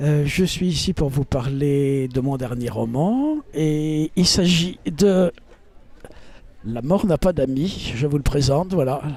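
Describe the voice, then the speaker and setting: A man's fairly high voice at a very slow pace. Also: ordinary pitch variation. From France, Paris. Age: 70s. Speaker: novelist. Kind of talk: casual self-presentation to camera. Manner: hesitant, many fillers.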